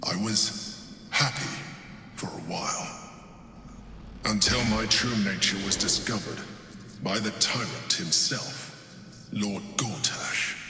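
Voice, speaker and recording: Someone performs a put-on character voice at a fairly slow pace, with a clear echo around it. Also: man, medium pitch for a man. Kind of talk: video game voice acting. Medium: machinima. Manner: measured, cold, formal.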